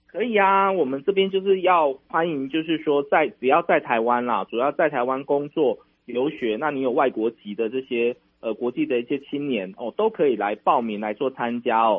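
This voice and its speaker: With lively intonation and a fairly high pitch, a man speaks at a moderate pace. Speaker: national tourism official. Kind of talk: radio interview. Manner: hesitant, many fillers.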